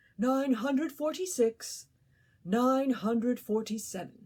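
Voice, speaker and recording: A woman puts on a character voice pitched high. She talks at a fairly slow pace. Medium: read story. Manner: fussy, prim.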